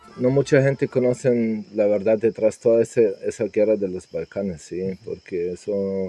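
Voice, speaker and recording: A man with a Serbian accent, medium pitch and a dark, mellow tone, at a moderate pace, in dry, close sound with no echo. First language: Serbian (speaking Spanish). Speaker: immigrant interviewee. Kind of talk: interview testimony. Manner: halting, repeated words.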